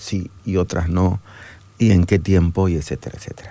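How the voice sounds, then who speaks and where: A man speaks in a dark, mellow tone. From Bolivia, Santa Cruz. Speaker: theologian. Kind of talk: radio interview. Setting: radio studio.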